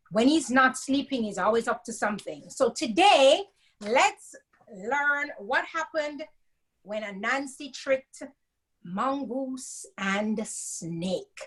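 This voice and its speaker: The speaker talks at a very slow pace with a Jamaican accent. The intonation is lively throughout. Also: woman, high pitch for a woman. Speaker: storyteller. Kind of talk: reading aloud.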